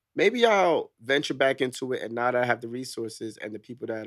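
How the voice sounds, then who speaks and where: Someone with a New York accent speaks at a very fast pace in a very clean recording with a silent background. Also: man. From New York (Queens). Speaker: military veteran. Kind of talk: casual chat.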